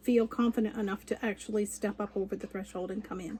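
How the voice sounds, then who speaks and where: Here a woman uses a normal speaking voice with a Canadian accent and ordinary pitch variation. She talks at a moderate pace. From Canada. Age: 60s. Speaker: cross stitch vlogger. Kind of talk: casual chat.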